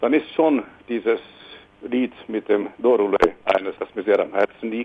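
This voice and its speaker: A man's voice over noticeable background noise. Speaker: singer-songwriter. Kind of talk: interview.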